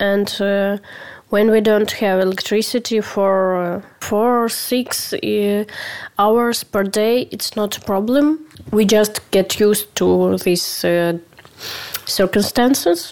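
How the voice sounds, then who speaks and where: A woman with a Ukrainian accent talks at a very slow pace in a medium pitch with fairly even intonation. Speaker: podcast editor. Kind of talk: personal statement. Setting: recording in the dark at home during blackout. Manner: halting, many fillers.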